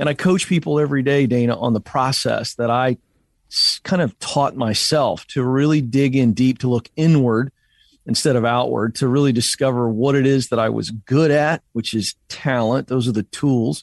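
An unremarkable speaking voice with an American accent talks at a moderate pace, with ordinary pitch variation and very even loudness. The sound is dry and close with no echo, over a quiet background. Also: man, medium pitch for a man. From Virginia, Hampton Roads. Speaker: career coach and author. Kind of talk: interview. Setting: remote.

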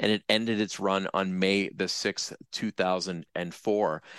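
A man's fairly low voice, an ordinary speaking voice, with ordinary pitch variation and a dry, close sound free of echo. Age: 50s. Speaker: TV commentator. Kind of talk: interview.

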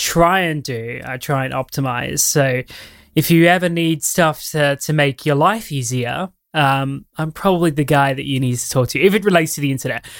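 A man with an unremarkable speaking voice, fairly high pitch, ordinary pitch variation and a moderate pace, on a very clean recording with a silent background. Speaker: commentary YouTuber. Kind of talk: casual interview chat.

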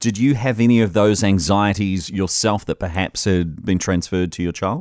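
Speaking with a New Zealand accent, a man talks at a fairly quick pace. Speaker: radio host. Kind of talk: talk radio, casual chat and phone-in. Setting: studio.

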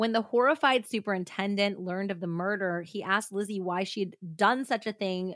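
The reading voice in this clip is unforced.

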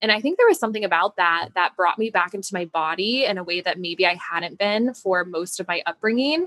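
A woman with a normal speaking voice talks in an American accent at a moderate pace. Her pitch is medium with ordinary variation. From Denver, Colorado, US. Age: 20s. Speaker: motivational speaker and coach. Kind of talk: casual interview chat.

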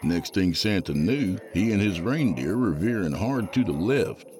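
Very deep, low male speech at a moderate tempo, with vocal fry and very wide pitch swings. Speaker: horror fiction podcast host reading a story aloud. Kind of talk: horror story reading, dramatic narration. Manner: animated, playful.

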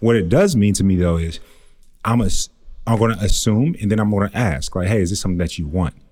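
A man with an ordinary speaking voice, talking at a fairly quick pace with ordinary pitch variation. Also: fairly low pitch for a man. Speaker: podcast co-host. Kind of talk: casual chat. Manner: playful, slangy.

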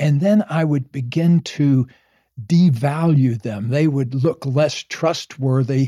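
Fairly high for a man, this voice has a dark, mellow tone, is somewhat breathy, and moves at a fairly slow pace with ordinary pitch variation. The sound is dry and close with no echo, on a very clean recording with a silent background. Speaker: psychologist and relationship author. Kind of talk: casual chat. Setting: at home.

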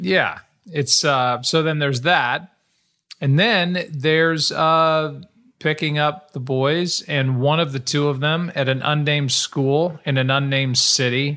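Ordinary pitch variation and a bright, sharp tone come through at a fairly slow pace on a very clean recording with a silent background. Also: man, fairly high pitch for a man. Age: 50s. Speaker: podcast co-host. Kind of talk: casual chat.

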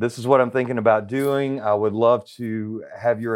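A man with a Southern US accent at a moderate pace, monotone and flat in intonation, with a quiet background. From Central Arkansas. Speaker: private investigator and wrongful conviction advocate. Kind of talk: interview.

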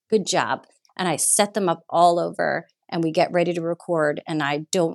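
At a moderate pace, a woman speaks in an unremarkable speaking voice at a fairly low pitch with fairly even intonation. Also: dry, close sound with no echo. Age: 40s. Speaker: art director and set designer. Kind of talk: casual chat.

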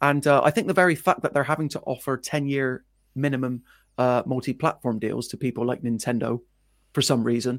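A man talks in a plain, everyday voice at medium pitch and a fairly quick pace. His intonation is fairly even, on a very clean recording with a silent background. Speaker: gaming presenter. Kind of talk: casual chat.

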